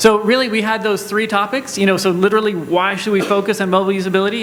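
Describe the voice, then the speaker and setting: A man talks loud and at a very fast pace, with audible room echo and noticeable background noise. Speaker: panel moderator. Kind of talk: conference panel moderation.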